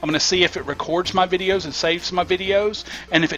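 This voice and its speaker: A man with a Southern US accent talks at a fairly quick pace in a high voice. Noticeable background noise can be heard behind him. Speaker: gaming YouTuber and streamer. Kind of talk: casual gameplay commentary.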